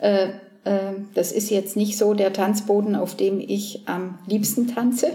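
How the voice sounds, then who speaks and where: A woman talks at a very slow pace in a medium-pitched voice with fairly even intonation. Noticeable background noise can be heard. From southern Germany. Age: 60s. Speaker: painter. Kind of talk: casual interview. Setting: artist's studio. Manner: hesitant, many fillers.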